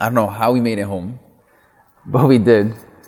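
At a moderate pace, a speaker with an American accent talks amid audible room echo. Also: man. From US Midwest, Milwaukee, Wisconsin. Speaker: chef and food business owner. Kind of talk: interview conversation. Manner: repetitive fillers, restarts.

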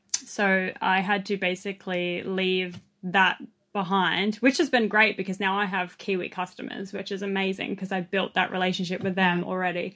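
A woman with an Australian accent talks at medium pitch and a moderate pace. Her intonation is monotone and flat, over a quiet background. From Australia, southwest Sydney. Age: 20s. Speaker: vintage clothing seller. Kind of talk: podcast interview.

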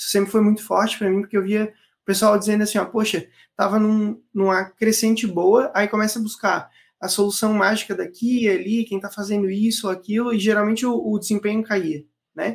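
The speech moves at a fairly quick pace. Everything is very clean, against a silent background. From Florianópolis, Santa Catarina, Brazil. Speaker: digital launch strategist. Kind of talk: casual interview.

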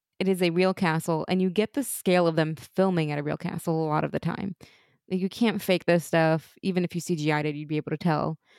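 Very fast speech comes from a woman with a fairly low pitch. The sound is dry and close, with no echo. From Europe. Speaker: podcast host. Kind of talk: casual chat.

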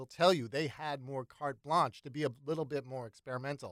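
Talking at a fairly quick pace, a man has an ordinary speaking voice with a fairly high pitch. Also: dry, close sound with no echo. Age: 50s. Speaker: songwriter and radio producer. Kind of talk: casual interview chat.

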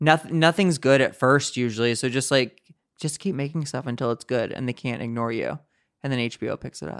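A man's unremarkable speaking voice with an American accent, medium pitch, ordinary pitch variation and a fairly quick pace, dry and close with no echo on a very clean recording with a silent background. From US Midwest, St. Louis, Missouri. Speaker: comedian. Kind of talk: casual chat.

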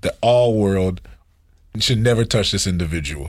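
Somewhat breathy and lively in intonation, a man's voice comes through a very clean recording with a silent background. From Haitian family household. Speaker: pastor and music producer. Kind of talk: casual chat.

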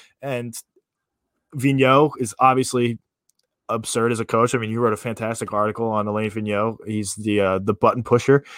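A plain, everyday voice moves at a moderate pace with fairly even intonation on a very clean recording with a silent background. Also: man, medium pitch for a man. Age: 20s. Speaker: sports podcast co-host, college baseball player. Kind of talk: casual sports talk. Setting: live stream.

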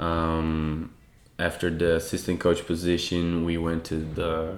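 This is a man with a very deep, low pitch. He speaks with a Portuguese accent. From Brazil, Sao Paulo. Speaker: tennis coach. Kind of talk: casual chat.

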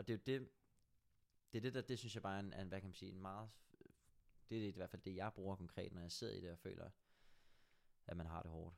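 Very fast speech broken by long, frequent pauses comes from a man with a very deep, low pitch and fairly even intonation. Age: 20s. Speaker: extreme endurance athlete. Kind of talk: casual chat.

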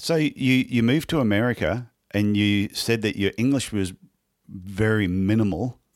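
On a very clean recording with a silent background, a man with an Australian accent speaks at a moderate pace and fairly low pitch, with ordinary pitch variation and very even loudness. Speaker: podiatrist and podcast host. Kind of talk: interview conversation.

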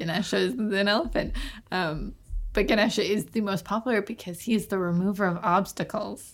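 With a Canadian accent, a woman talks at a fairly quick pace in an animated tone, her medium pitch showing ordinary variation. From Canada. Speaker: podcast host. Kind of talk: casual chat. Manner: animated, joking.

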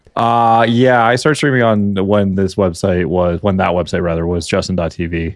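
Here is a man with a plain, everyday voice, fairly low in pitch with ordinary variation, at a moderate pace and with hardly any pauses. The recording is very clean against a silent background. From Canada. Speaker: streamer and podcast guest. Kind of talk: casual banter podcast chat.

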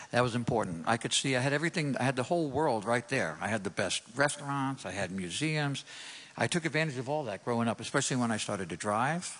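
Talking very fast with a New York accent, a man keeps a medium pitch and lively intonation. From New York City. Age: 60s. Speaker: guitar teacher. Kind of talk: testimony. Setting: church stage with audience.

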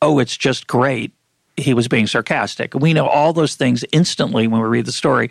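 Ordinary pitch variation marks an unforced reading voice. Behind it, the background stays quiet.

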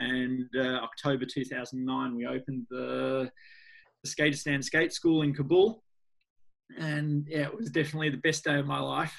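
Speaking with an Australian accent at a moderate pace, a man with a fairly high pitch shows ordinary pitch variation. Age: 40s. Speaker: NGO founder, skateboarder. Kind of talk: interview conversation.

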